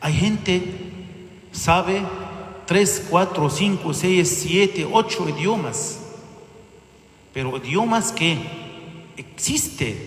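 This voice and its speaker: A man with an Egyptian accent speaks very slowly in a high voice, with lively intonation and long, frequent pauses. There is audible room echo and noticeable background noise. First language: Arabic (speaking Spanish). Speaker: bishop. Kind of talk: sermon. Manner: halting.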